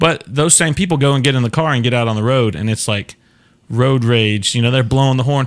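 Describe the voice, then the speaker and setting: Speaking at a medium pitch in a Southern US accent, a man keeps a fairly quick pace and ordinary pitch variation in a very clean recording with a silent background. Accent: Southern US, considered thick by northerners. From Florida, US South. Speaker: talk show host. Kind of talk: casual chat. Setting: live stream.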